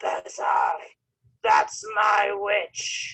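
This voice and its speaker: This put-on character voice is fairly high, shrill and croaky. It also comes out raspy and growling. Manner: menacing.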